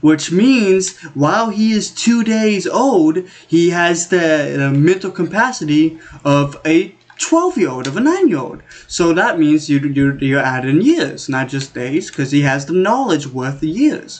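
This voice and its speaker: With lively intonation, a man talks at a fairly slow pace in a high pitch for a man. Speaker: gaming YouTuber. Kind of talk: casual solo commentary. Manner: rambling, self-interrupting; animated.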